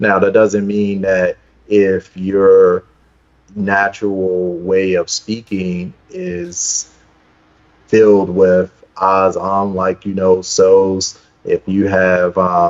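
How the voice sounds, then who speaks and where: A man with a Baltimore accent speaks very slowly in a very deep, low voice with monotone, flat intonation. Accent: East Baltimore. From East Baltimore, Maryland (US). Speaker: speaker coach, founder of speakers network. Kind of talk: interview.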